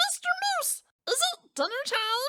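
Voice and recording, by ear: A woman puts on a character voice with a bright, sharp tone, an extremely high pitch, big pitch swings and a fairly slow pace.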